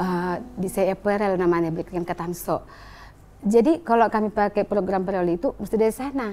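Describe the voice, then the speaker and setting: A woman's medium-pitched voice, dark and mellow in tone, at a fairly quick pace with ordinary pitch variation. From North Sumatra (Batak). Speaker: business owner sharing life story. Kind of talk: testimony. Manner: animated.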